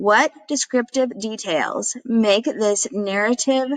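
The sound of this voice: Reading done in an unforced voice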